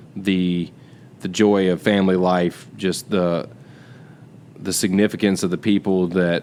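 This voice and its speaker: A man speaks in a Southern US accent. His pitch is very deep and low, with fairly even intonation. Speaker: podcast co-host. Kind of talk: casual chat.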